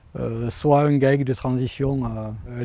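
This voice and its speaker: A man is speaking. His voice has a dark, mellow tone. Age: 50s. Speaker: farmer. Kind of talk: interview testimony. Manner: hesitant, many fillers.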